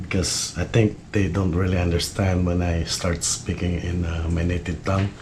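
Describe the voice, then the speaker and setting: A man with a Filipino accent, very deep and low in pitch, flat monotone intonation, moderate pace, hardly any pauses, noticeable background noise and audible room echo. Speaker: fishing YouTuber. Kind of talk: tutorial. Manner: halting, many fillers.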